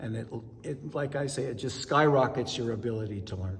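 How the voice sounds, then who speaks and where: A man talks at a moderate pace in a medium pitch. Noticeable background noise and audible room echo fill the recording. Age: 60s. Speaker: amateur ballroom dancer. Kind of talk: interview.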